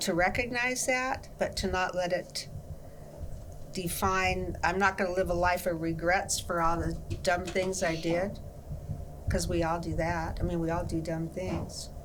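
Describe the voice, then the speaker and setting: Noticeable background noise and audible room echo surround a woman with a fairly low pitch. She speaks at a fairly slow pace with fairly even intonation. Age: 80s+. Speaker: pastor. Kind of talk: interview.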